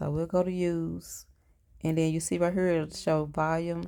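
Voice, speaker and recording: A woman's fairly low, dark and mellow voice, monotone and flat at a moderate pace, on a very clean recording with a silent background. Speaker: YouTuber teaching video editing. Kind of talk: tutorial. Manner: flat, monotone.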